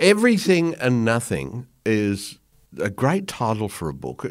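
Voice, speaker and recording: A man with an Australian accent and very wide pitch swings, in a very clean recording with a silent background. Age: 60s. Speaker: podcast host. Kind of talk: interview.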